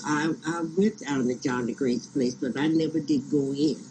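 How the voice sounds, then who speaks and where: Using lively intonation, a man with an American accent talks at a fairly slow pace and fairly high pitch. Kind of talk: oral history interview.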